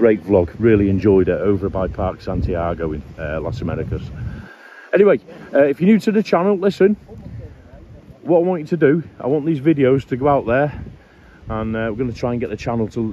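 A man talks at a very fast pace in a dry sound with no echo, with noticeable background noise behind him. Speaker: travel vlogger. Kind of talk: casual vlog chat. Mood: upbeat, grateful. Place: beach. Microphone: phone near.

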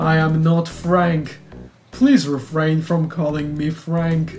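The speaker uses a put-on character voice at a middle pitch. The pace is very slow. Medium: game stream. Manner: formal, clipped, prim.

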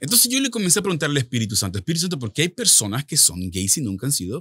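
Against a quiet background, a man speaks very fast at a fairly high pitch with a bright, sharp tone, vocal fry and very wide pitch swings. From El Salvador. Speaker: author and minister; minister. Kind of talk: testimony. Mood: earnest personal testimony. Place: studio. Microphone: studio mic.

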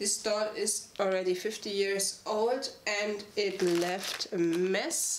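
The woman's intonation stays fairly even while the room gives off an audible echo. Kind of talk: tutorial. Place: home room.

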